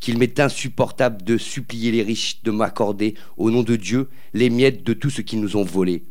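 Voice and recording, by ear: A natural voice reads the text aloud.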